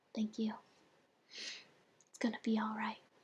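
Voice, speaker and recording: The voice is soft-spoken. Its tone is gentle. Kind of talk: ASMR soft-spoken roleplay story time. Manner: soft-spoken, gentle.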